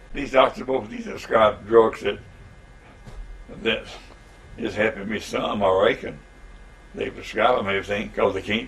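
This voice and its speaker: The speech, in a Southern US accent, moves at a moderate pace. Long pauses come often. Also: man. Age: 80s+. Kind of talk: interview answer.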